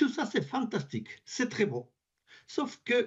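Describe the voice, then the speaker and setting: Speaking at a very slow pace with very wide pitch swings, a man talks in a Spanish accent. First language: Spanish (speaking French). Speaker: advocacy group representative, French teacher. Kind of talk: parliamentary committee testimony. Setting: parliamentary committee hearing. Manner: halting, with repetitions.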